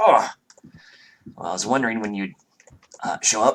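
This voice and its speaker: A man puts on a raspy character voice at medium pitch. He moves at a moderate pace, with big swings in loudness. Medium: actual play.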